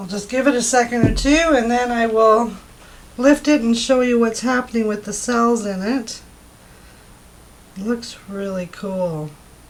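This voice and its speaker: A woman with a fairly high pitch speaks at a fairly slow pace with ordinary pitch variation, leaving long, frequent pauses over noticeable background noise. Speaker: acrylic pour artist. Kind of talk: tutorial. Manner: casual and chatty.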